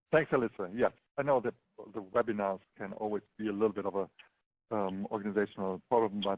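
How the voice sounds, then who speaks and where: A man with a German accent speaks at a fairly quick pace in a fairly low pitch, his intonation fairly even. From Germany. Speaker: local investing entrepreneur. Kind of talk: webinar presentation. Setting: online webinar. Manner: halting, many fillers.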